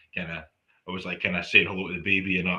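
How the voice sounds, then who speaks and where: His bright, sharp tone rings out over a quiet background. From Peterhead, northeast Scotland. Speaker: tarot reader and holistic practitioner. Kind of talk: casual chat.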